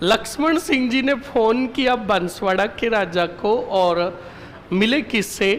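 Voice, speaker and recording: A man's high-pitched voice with lively intonation, audible room echo and noticeable background noise. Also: very even loudness. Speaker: history teacher. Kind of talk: lecture. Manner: stern, scolding tone.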